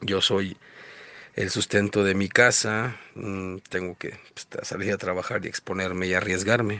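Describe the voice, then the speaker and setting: Speaking with a Mexican accent, a man talks at a moderate pace in a fairly low voice with fairly even intonation. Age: 40s. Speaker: delivery driver. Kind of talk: testimony.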